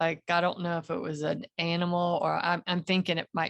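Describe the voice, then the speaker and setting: A woman speaks with a Southern accent and a very deep, low pitch. The background is quiet. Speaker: meditation participant. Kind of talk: casual chat.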